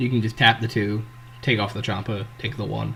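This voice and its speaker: A male voice, neither fast nor slow, over clear background noise. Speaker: trading card game content creator. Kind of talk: casual gameplay commentary. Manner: casual, hesitant.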